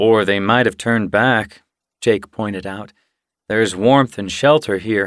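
Ordinary pitch variation in an unforced reading voice, the background quiet

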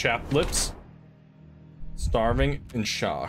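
Over faint music in the background, a man talks at a very slow pace and medium pitch, with big pitch swings and a fairly bright tone.

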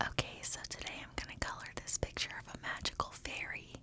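Whispering, a woman speaks at a moderate pace. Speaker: ASMR coloring creator. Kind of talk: ASMR coloring narration. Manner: soft whispering. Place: home room.

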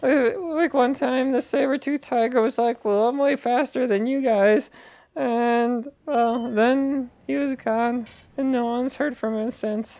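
Against a quiet background, a man uses a put-on character voice at an extremely high pitch, with fairly even intonation and a fairly slow pace. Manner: boastful, sly.

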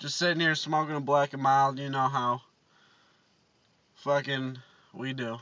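Against a quiet background, a man speaks at a moderate pace with monotone, flat intonation. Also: dry sound with no echo. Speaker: vlogger. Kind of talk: casual vlog chat.

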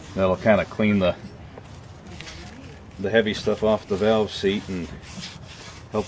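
A man's fairly low voice in a flat monotone, with light background noise. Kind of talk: tutorial. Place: street.

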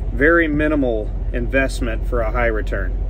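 Light background noise sits behind a man's voice in a dry sound with no echo. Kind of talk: casual vlog chat. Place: car. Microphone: phone near.

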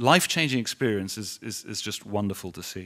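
A man with a London accent talks at a fairly quick pace against a quiet background. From London, England. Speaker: business executive; guest. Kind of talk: speech to audience. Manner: halting. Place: hall. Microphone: podium.

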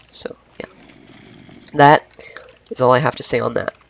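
Noticeable background noise runs through the clip. A man talks at a fairly quick speed. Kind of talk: casual gaming commentary. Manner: hesitant, many filler words.

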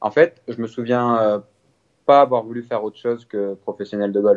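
A man speaks in a normal speaking voice at medium pitch and a moderate pace, with fairly even intonation and a dry, close sound with no echo. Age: 20s. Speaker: professional golfer. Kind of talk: interview.

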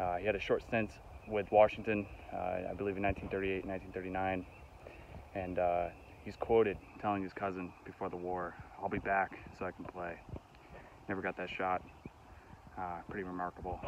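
With light background noise and a dry sound with no echo, a man speaks at a very deep, low pitch in a monotone, flat way at a moderate pace, with long, frequent pauses. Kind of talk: casual vlog chat. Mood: respectful, reflective. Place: open country. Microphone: phone near.

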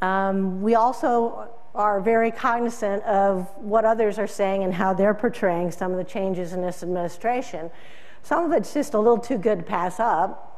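A woman is speaking. Her pace is moderate, with ordinary pitch variation. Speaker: keynote speaker, agricultural news publisher. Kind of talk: keynote speech. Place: hall.

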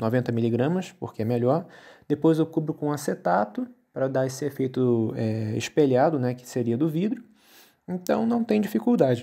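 With a dark, mellow tone and lively intonation, a man speaks at a moderate pace. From Rio de Janeiro, Brazil. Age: 30s. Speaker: bus miniature hobbyist YouTuber. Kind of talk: casual video commentary. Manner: hesitant, many fillers.

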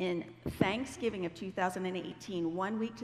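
A woman's voice with vocal fry. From Ohio, US Midwest. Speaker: Bible teacher. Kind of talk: sermon. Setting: church stage with audience. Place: stage.

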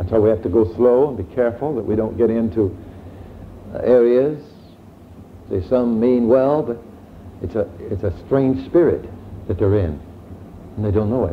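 Ordinary pitch variation and long, frequent pauses in a man's moderate-paced, medium-pitched speech. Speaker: preacher. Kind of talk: sermon. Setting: church. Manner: animated.

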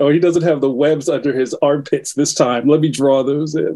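With a Philadelphia accent, a man speaks at a fairly quick pace, with fairly high pitch and a dark, mellow tone. His intonation is fairly even, against a quiet background. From West Philadelphia. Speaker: cartoonist; guest. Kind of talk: interview. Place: home room. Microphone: video call.

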